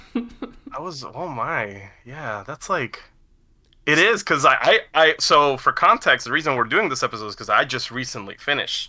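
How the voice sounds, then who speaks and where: A man speaks at a moderate pace with a fairly high pitch, a bright, sharp tone and very wide pitch swings. His loudness swings widely on a very clean recording with a silent background. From Puerto Rico. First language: Spanish. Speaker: podcast co-host. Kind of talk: casual chat.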